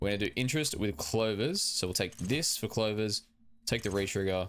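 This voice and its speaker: In a very clean recording with a silent background, a man speaks with a fairly low pitch. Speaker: gaming youtuber. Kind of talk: gameplay commentary. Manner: fast.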